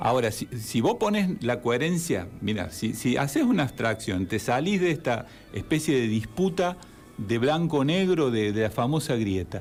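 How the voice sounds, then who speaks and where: Music plays behind a man speaking at a moderate pace with very even loudness. His medium pitch swings very widely. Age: 60s. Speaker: therapist and civic group spokesman. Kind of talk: radio interview.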